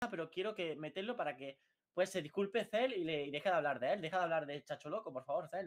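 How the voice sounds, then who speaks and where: The background is quiet as a man talks at a very fast pace. His pitch is high for a man. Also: ordinary pitch variation. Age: 20s. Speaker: youtuber. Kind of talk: heated debate; heated debate chat. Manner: halting. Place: home room. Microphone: video call.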